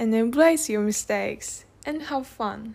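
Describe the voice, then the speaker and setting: A woman's very slow speech with a Japanese accent, fairly high in pitch with a dark, mellow tone and ordinary pitch variation, on a very clean recording with a silent background. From Tokyo, Japan. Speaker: podcast host, language learner. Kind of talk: casual solo podcast monologue. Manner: halting, with self-corrections.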